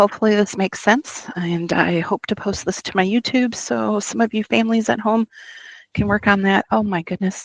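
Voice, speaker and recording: A woman's normal speaking voice at a medium pitch, with ordinary pitch variation, a moderate pace and a dry, close sound with no echo. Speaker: teacher. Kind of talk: tutorial.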